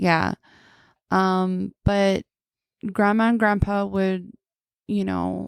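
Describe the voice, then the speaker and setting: In a Navajo Nation accent, a woman speaks at a very slow pace. The sound is dry and close with no echo. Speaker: podcast guest. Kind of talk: casual chat.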